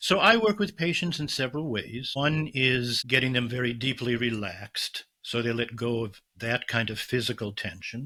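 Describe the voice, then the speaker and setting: A man talks in a bright, sharp tone with hardly any pauses. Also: medium pitch for a man, ordinary pitch variation, moderate pace. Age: 70s. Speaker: healing practitioner, author. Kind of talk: interview. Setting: podcast interview.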